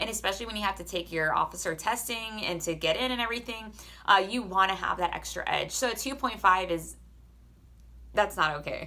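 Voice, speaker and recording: A loud, medium-pitched woman's voice with vocal fry, a bright, sharp tone, an animated tone, ordinary pitch variation and a fairly quick pace. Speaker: army soldier and vlogger. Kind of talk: casual advice vlog.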